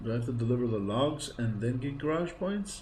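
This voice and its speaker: There is audible room echo as a man talks at a medium pitch. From Greece. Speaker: gaming streamer. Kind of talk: live game streaming commentary. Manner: casual, chatty.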